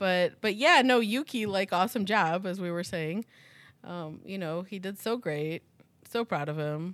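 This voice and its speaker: With an American accent and an ordinary speaking voice, a woman at medium pitch talks at a fairly slow pace with lively intonation on a very clean recording with a silent background. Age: 40s. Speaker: podcast host. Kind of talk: casual chat.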